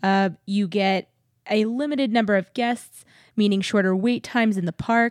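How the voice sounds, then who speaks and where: At a moderate pace, an ordinary speaking voice with an American accent comes through on a very clean recording with a silent background and a dry, close sound with no echo. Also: woman. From San Antonio, Texas. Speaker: podcast host. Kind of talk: casual chat.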